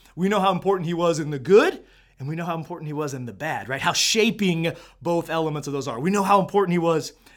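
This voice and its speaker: Loud and animated, a man speaks at a fairly quick pace in a high voice. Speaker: podcast host. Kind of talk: motivational talk.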